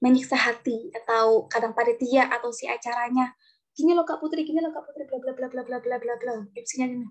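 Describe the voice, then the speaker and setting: A woman's fairly even intonation comes at a fairly quick pace. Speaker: TV presenter and public speaker. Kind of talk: online talk. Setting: video call. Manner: casual.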